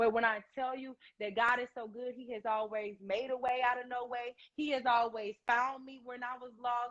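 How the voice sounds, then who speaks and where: At a moderate pace, a woman talks in a high, flat monotone with big swings in loudness. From Atlanta, Georgia. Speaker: radio personality. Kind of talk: interview.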